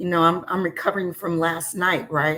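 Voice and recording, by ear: A woman's put-on character voice, raspy and fairly low, with fairly even intonation at a moderate pace.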